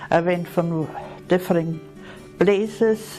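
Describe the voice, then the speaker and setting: Music plays in the background. A woman with a fairly low pitch speaks in an Austrian accent. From Vienna, Austria. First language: German. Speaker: retired nurse. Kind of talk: interview answer.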